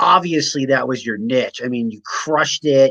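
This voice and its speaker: A man with an unremarkable speaking voice and a fairly high pitch talks at a moderate pace with ordinary pitch variation, in a dry, close sound with no echo. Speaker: health coach. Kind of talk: podcast interview host. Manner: upbeat.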